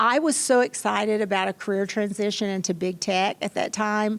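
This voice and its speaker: A woman speaks with a strong Kentucky accent. Her pitch sits in the medium range. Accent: Kentucky accent, still strong. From Kentucky, small town. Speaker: tech executive. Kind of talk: panel interview. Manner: animated.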